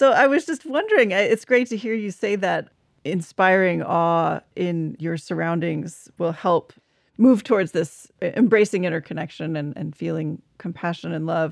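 A woman speaks in a normal speaking voice, fairly low in pitch, at a moderate pace with lively intonation, in a very clean recording with a silent background. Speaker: podcast host. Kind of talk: interview conversation.

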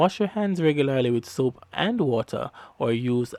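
An upbeat man with a Jamaican accent, lively intonation and a moderate pace. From Jamaica (Kingston). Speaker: podcast host and producer. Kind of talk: devotional radio-style podcast hosting. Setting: studio.

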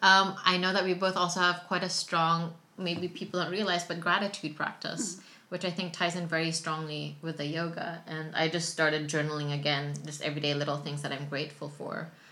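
With hardly any pauses and at a fairly quick pace, a woman of fairly low pitch talks in a monotone, flat voice with a bright, sharp tone and audible room echo. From Philippines. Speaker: yoga teacher and entrepreneur. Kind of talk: casual chat. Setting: at home with baby nearby.

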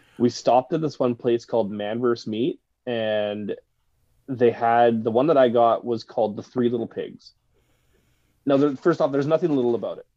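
A man in a Canadian accent, dark and mellow in tone, medium in pitch, with fairly even intonation and a moderate pace. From Victoria, British Columbia, Canada. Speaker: podcast guest. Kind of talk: casual chat.

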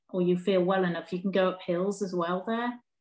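A woman with an English accent and a medium pitch. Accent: English, noticeable to a foreign listener. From northeast England. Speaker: primary school teacher with MS. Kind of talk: casual interview.

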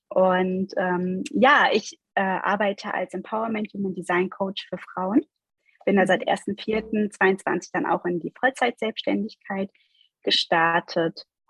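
Recorded dry and close with no echo, a woman speaks very slowly at a medium pitch with ordinary pitch variation. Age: 40s. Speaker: life coach. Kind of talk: interview.

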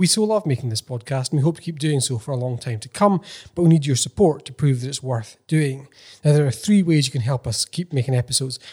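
At a very fast pace, a man talks in a fairly high, somewhat breathy voice with ordinary pitch variation. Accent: Scottish. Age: 30s. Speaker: podcast co-host. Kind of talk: scripted appeal; casual chat. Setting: office.

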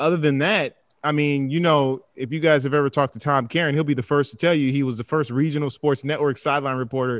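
Against a quiet background, a man with an unremarkable speaking voice talks at a fairly quick pace in a fairly high pitch. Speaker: sideline reporter. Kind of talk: casual interview chat.

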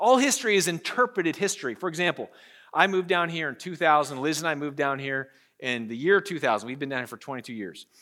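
A man's bright, sharp, fairly high voice with an American accent at a very fast pace, with lively intonation and big swings in loudness, in a very clean recording with a silent background. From Pennsylvania, US. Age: 40s. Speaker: pastor. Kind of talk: sermon. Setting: church with congregation.

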